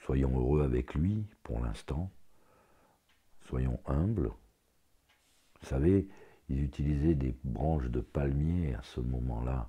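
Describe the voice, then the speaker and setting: A man with a very deep, low pitch, somewhat breathy, at a very slow pace, with ordinary pitch variation and long, frequent pauses. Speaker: religious commentator on YouTube. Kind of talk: religious commentary monologue. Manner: halting.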